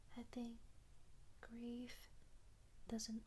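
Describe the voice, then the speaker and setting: The voice is a soft-spoken whisper with a gentle tone. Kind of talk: soft-spoken ASMR letter, sleep-time comfort audio. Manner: soft-spoken, whispery, slow, gentle.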